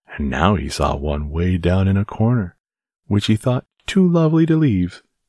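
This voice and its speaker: Recorded very cleanly against a silent background, a man speaks in a normal speaking voice at a fairly low pitch, the sound dry and close with no echo. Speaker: bedtime story narrator. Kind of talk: bedtime story narration, reading aloud a children's tale to help listeners fall asleep. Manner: slow, soft, soothing and gentle; calm, steady, lulling storyteller pacing.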